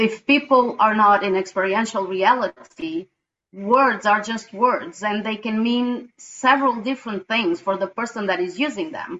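A woman talks at a moderate pace and a fairly high pitch. Her pitch varies in an ordinary way. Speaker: women's team facilitator. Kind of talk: sharing in online group discussion. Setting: video call. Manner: talkative.

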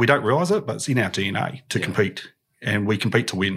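Words come at a fairly quick pace. There is a somewhat breathy quality to the voice. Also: man. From Australia. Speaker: tech company founder and CEO. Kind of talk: interview.

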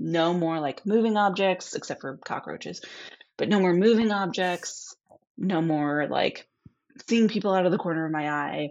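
With an American accent, a woman talks at a moderate pace in a fairly low pitch, using an unremarkable speaking voice and ordinary pitch variation. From US Midwest. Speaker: podcast guest telling a haunting story. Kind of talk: storytelling in a casual interview.

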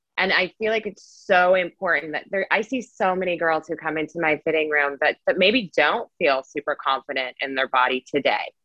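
This is a plain, everyday voice with an American accent. It moves at a fairly quick pace with lively intonation. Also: woman, fairly low pitch for a woman. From Las Vegas, Nevada. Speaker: personal shopper. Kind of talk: casual chat.

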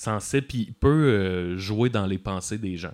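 A man speaks at a fairly slow pace with a normal speaking voice. His pitch sits fairly low, with ordinary variation. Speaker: musician filling in as co-host. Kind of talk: casual chat.

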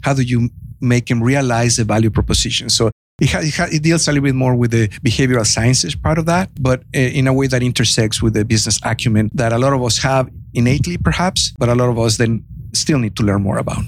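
A very fast pace and very even loudness in a Mexican accent. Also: man, medium pitch for a man, ordinary pitch variation. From Mexico. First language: Spanish. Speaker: entrepreneur and economic development consultant. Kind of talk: podcast interview. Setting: on-location recording in a venue green room.

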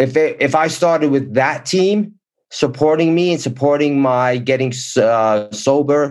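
A man talks with a plain, everyday voice, pitched fairly high and showing ordinary pitch variation. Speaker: motivational speaker. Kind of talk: interview.

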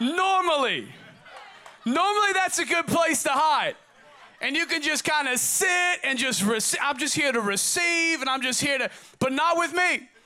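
A man with an American accent speaks in a raised, projected voice at an extremely high pitch. His tone is animated and his loudness very even. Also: ordinary pitch variation, moderate pace. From Oregon, US. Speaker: pastor. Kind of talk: sermon. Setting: church service. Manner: repetitive, halting.

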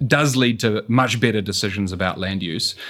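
The recording is very clean with a silent background. A man talks at medium pitch and moderate pace with ordinary pitch variation. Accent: New Zealand. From New Zealand. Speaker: urban economist. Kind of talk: interview.

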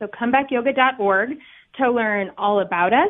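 Using an unremarkable speaking voice, a woman talks at a moderate pace, her pitch varying in an ordinary way. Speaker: nonprofit yoga director. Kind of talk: radio interview.

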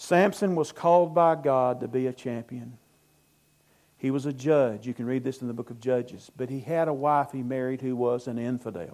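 In a Southern US accent, a man speaks at a moderate pace and medium pitch with ordinary pitch variation. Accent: US South. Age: 60s. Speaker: pastor. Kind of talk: sermon.

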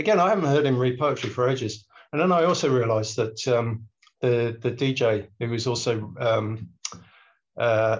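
Somewhat breathy male voice with an English accent, medium pitch, ordinary pitch variation, very even loudness, a moderate pace and a quiet background. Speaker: poet. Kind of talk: casual chat.

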